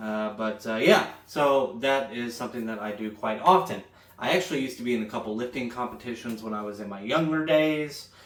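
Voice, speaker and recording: A man with an American accent talks at a fairly quick pace and medium pitch, with ordinary pitch variation and big swings in loudness, over noticeable background noise. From Florida, Jacksonville. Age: 20s. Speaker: fitness content creator. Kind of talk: casual vlog talk. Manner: hesitant, many fillers.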